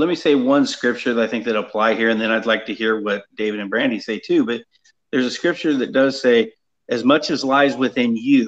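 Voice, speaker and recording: This speaker has a plain, everyday voice and an American accent. The pace is moderate and the intonation lively. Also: man. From California. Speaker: retired deputy sheriff, Bible study teacher. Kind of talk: panel discussion. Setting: video call.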